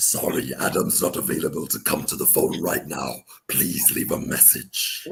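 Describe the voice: A man puts on a raspy character voice with a menacing, theatrical tone. He keeps to a moderate pace.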